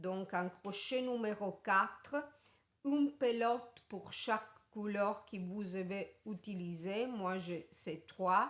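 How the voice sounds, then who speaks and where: A woman speaks very slowly with an Italian accent. Her medium-pitched voice varies in an ordinary way. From Italy. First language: Italian (speaking French). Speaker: crochet tutorial maker. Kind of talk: tutorial. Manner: halting.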